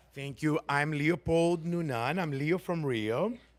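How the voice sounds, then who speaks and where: Fairly slow delivery with an animated tone and lively intonation. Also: man. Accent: Portuguese. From Brazil. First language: Portuguese. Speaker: performer. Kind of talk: audience question at town hall.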